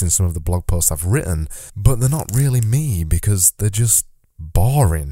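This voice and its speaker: With a Yorkshire accent, a man speaks at a fairly low pitch and moderate pace, his dark, mellow tone somewhat breathy and his intonation lively. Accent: Yorkshire, extended vowels. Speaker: podcast host. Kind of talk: solo podcast monologue. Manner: casual, conversational.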